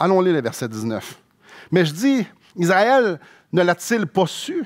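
A man with a Quebec accent speaks at a very slow pace with lively intonation against a quiet background. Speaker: pastor. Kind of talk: sermon, expository preaching. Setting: church. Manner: earnest, explanatory, conversational; fervent, heartfelt, slower and pleading when praying. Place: church. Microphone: headset.

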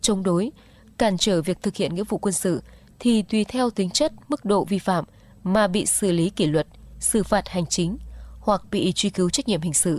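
Speaking at a moderate pace, a woman with a somewhat breathy voice at a medium pitch shows ordinary pitch variation, with a dry sound and no echo. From Vietnam. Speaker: local radio announcer; radio announcer. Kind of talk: news reading. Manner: formal. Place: studio.

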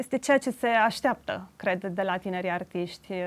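The woman talks at a moderate pace. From Transylvania, Romania (Alba Iulia); Transylvania, Romania. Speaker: artist; guest. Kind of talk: interview; interview answer. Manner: halting. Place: studio. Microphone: lapel.

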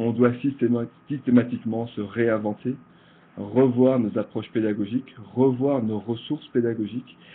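A man's monotone voice with flat intonation, at a moderate pace. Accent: Belgian. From Belgium. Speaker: project manager and presenter. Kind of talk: virtual conference presentation. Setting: online conference, video call. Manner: hesitant, frequent repetitions.

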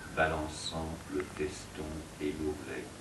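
A man talks at a very slow pace in a very deep, low voice, with noticeable background noise. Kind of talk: poetry reading.

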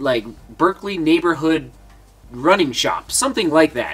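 A man speaks at a fairly high pitch with lively intonation, a fairly bright tone, and a slightly husky edge.

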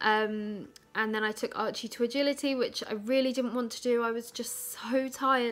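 A woman speaks with fairly even intonation, keeping a moderate pace. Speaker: vlogger. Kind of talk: casual vlog chat. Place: home room. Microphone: phone near.

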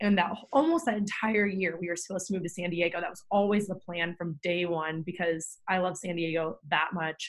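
A woman with a fairly low pitch talks at a fairly quick pace with hardly any pauses against a quiet background. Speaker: podcast host. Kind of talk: casual chat. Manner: animated. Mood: warm, earnest. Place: home room.

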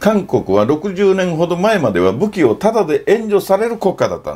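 A man at a moderate pace, with vocal fry in his voice. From Okinawa, Japan. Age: 60s. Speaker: NGO founder and photographer; NPO founder commentator. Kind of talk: informal lecture to camera. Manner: animated. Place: home room.

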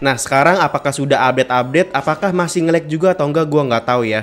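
A man talks very fast with ordinary pitch variation. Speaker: gaming youtuber. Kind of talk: casual gameplay commentary. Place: home room.

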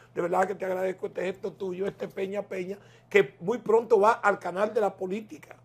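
Speaking at a fairly quick pace, a man uses a high pitch and a monotone, flat intonation. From Dominican Republic. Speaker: political talk show host. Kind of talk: political interview. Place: home room. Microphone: lapel.

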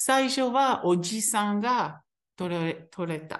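Very slowly and at medium pitch, a woman with a Hebrew accent speaks with very wide pitch swings over a quiet background. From Israel. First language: Hebrew (speaking Japanese). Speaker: teacher. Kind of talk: interview testimony. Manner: halting.

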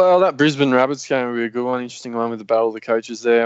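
Speaking with an Australian accent, a man's voice sits at a medium pitch. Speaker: fantasy sports podcast host. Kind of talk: casual chat. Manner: animated.

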